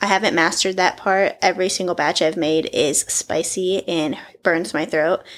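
A woman talks in a normal speaking voice at a medium pitch for a woman. Her pace is moderate and her intonation fairly even. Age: 20s. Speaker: podcast host. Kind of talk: casual solo monologue. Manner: chatty, laughs often.

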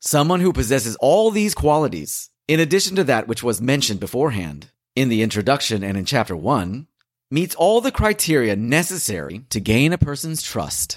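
On a very clean recording with a silent background, a man with a medium pitch and vocal fry speaks at a moderate pace with very wide pitch swings. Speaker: audiobook narrator. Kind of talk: audiobook reading of a religious text. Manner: formal; measured, steady.

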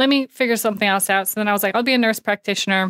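In a dry, close recording with no echo, a woman with an American accent speaks in a bright, sharp tone with ordinary pitch variation. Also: very clean recording, silent background. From New York City. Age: 30s. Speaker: paramedic and cancer patient. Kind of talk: interview conversation.

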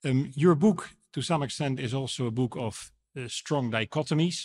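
With a Dutch accent, a man talks at a moderate pace in a medium pitch with ordinary pitch variation, the sound dry and close with no echo on a very clean recording against a silent background. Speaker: moderator and council chairman. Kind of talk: debate rebuttal. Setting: stage with audience.

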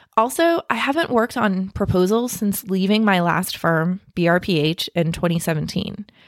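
A plain, everyday voice with ordinary pitch variation and very even loudness, speaking at a fairly slow pace with hardly any pauses in a dry, close sound with no echo. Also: woman, medium pitch for a woman. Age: 40s. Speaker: podcast host and marketing consultant. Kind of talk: personal monologue.

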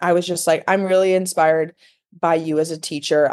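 With an American accent, a woman speaks in a normal speaking voice at a fairly low pitch and moderate pace. The sound is dry and close with no echo, over a quiet background. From Illinois, Chicago area (Elgin). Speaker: professional dancer. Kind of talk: casual interview chat.

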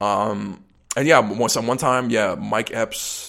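A man with an American accent speaks in a normal speaking voice, fairly low in pitch, with ordinary pitch variation and a fairly slow pace. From US, Pittsburgh suburbs. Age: 20s. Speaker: drummer. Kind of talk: casual chat.

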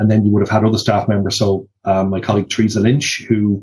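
With an Irish accent, a man speaks at a moderate pace in a somewhat breathy, fairly low voice with monotone, flat intonation. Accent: mild Drogheda Irish. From Ireland, Drogheda (County Louth). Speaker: sign language interpreter. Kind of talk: interview. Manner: hesitant.

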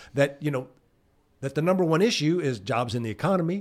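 Fairly high pitch from a man, in a very clean recording over a silent background. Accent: Southern US. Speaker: political consultant. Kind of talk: casual chat. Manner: animated.

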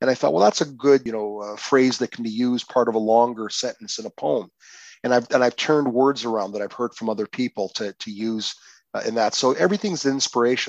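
Man with a Canadian accent at a fairly quick pace, ordinary pitch variation and a quiet background. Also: medium pitch for a man, dry, close sound with no echo. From Windsor, Ontario, Canada. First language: Croatian. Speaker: poet and lawyer. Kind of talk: interview. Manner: halting, many fillers and repetitions.

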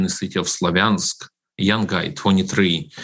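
A man with a Ukrainian accent talks at a fairly low pitch. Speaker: ministry director. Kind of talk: radio interview.

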